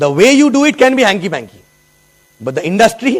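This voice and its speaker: Speaking very fast, a man talks. He has an Indian accent. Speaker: network marketing leader. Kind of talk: motivational talk. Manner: animated.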